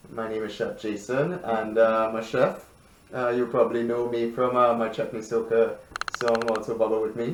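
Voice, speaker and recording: The delivery is flat and monotone at a moderate pace, with audible room echo and noticeable background noise. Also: man, medium pitch for a man. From Trinidad and Tobago. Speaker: television chef. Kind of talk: radio interview. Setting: radio studio.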